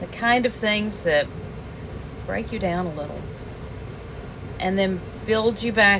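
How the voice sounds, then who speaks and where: A woman with an American accent speaks fairly slowly at medium pitch. Her pitch varies in an ordinary way, with noticeable background noise behind her. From US South. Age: 60s. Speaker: lifestyle vlogger. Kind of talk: personal vlog monologue. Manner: reflective, conversational.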